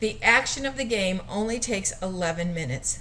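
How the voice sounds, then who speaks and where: A woman speaks with audible room echo, and noticeable background noise is present. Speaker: teacher. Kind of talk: educational video talk. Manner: fast.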